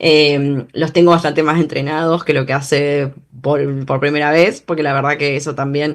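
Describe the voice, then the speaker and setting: Her voice is very deep and low for a woman, delivered at a moderate pace in a monotone, flat intonation. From Argentina, Bahía Blanca. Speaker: journalist and political scientist. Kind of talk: interview. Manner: halting, many fillers and restarts.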